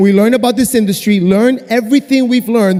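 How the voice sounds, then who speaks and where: Music plays in the background as a man talks in an animated tone with ordinary pitch variation. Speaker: network marketing distributor. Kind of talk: convention stage testimony. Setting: stage with audience. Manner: fast.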